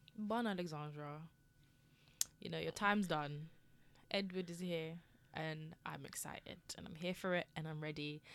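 A woman is speaking. Her tone is bright and sharp. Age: 20s. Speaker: podcast co-host. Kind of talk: casual chat.

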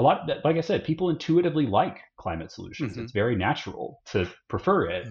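A man rushes along at a very fast pace with hardly any pauses, his voice showing vocal fry. His pitch swings very widely and his loudness rises and drops sharply. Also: medium pitch for a man. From Austin, Texas. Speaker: climate campaign director. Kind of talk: interview.

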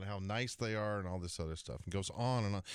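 A man's ordinary speaking voice, fairly low in pitch with ordinary pitch variation and an American accent, in a very clean recording with a silent background. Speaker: professional golfer and radio co-host. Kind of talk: sports radio talk show.

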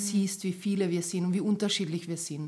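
The speaker is a woman with a fairly low pitch and a somewhat breathy voice. Her intonation is monotone and flat. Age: 30s. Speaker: photographer and camerawoman. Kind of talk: casual chat.

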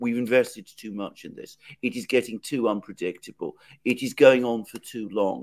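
A man speaks with a British accent. His loudness swings widely. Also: moderate pace, dry, close sound with no echo. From Britain. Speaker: political commentator, co-host. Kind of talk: live interview on current affairs. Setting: remote video call from London.

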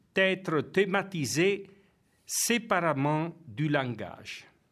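Very slowly, a man speaks with a high pitch. The recording is very clean and the background silent. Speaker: theology professor and priest. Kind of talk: lecture.

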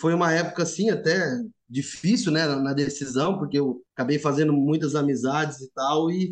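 A normal speaking voice from a man, moderately paced, fairly high-pitched, with ordinary pitch variation. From São Paulo city. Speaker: agronomist, former student house resident. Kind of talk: casual chat, storytelling.

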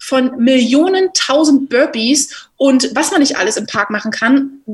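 A woman speaks very slowly at a high pitch. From Germany, Berlin. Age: 20s. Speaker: rugby player and journalist. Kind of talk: casual interview. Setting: home office.

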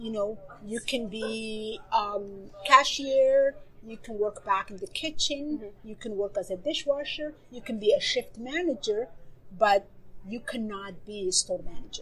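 A woman with a fairly high pitch speaks at a fairly slow pace with ordinary pitch variation. Her loudness swings widely over noticeable background noise. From Somalia. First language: Somali. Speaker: novelist. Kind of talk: interview. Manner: halting.

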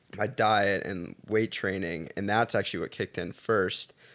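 A man with an ordinary speaking voice talks at a moderate pace with fairly low pitch and fairly even intonation. The recording is very clean, with a silent background. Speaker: college athlete. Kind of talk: casual chat.

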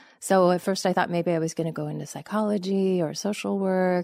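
The speaker has a Californian accent. The intonation is fairly even. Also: woman. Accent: General American, Californian. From US West Coast, Los Angeles. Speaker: journalist and author. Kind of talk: interview conversation.

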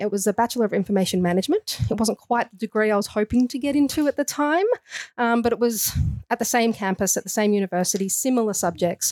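Very fast and at very even loudness, a woman talks with an Australian accent. Her fairly high voice has ordinary pitch variation and a dry, close sound with no echo. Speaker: nutritionist. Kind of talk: casual interview. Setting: studio.

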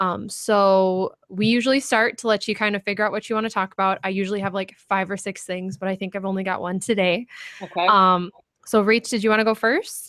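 A fairly quick speaker with an Upper Midwest accent keeps a fairly even intonation. The recording is very clean, with a silent background. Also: woman, medium pitch for a woman. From North Dakota (Ray). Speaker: podcast host. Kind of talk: interview.

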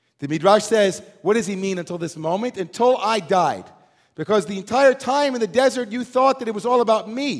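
A man speaks at a fairly quick pace in an animated tone, his high pitch showing ordinary variation. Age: 40s. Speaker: rabbi. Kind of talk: sermon.

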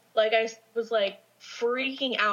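Fairly high female speech against noticeable background noise. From Southern California, Orange County. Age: 20s. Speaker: makeup artist sharing paranormal stories. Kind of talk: casual chat, storytelling.

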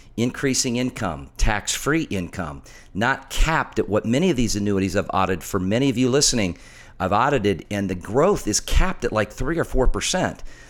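A man speaks at a moderate pace and a medium pitch. His tone is animated, with very wide pitch swings. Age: middle-aged. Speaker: financial radio host and author. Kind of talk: radio talk show with sales pitch.

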